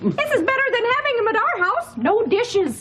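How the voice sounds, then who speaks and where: Putting on a squeaky character voice, a woman speaks at an extremely high pitch and a moderate pace, with clear background noise behind her. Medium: cartoon.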